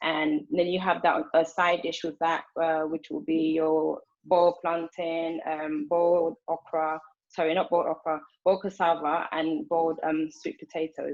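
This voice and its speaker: A woman talks at a moderate pace with a fairly low pitch. Her intonation is monotone and flat. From Angola. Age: 30s. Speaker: home cook. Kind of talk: cooking demonstration. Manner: hesitant, many fillers.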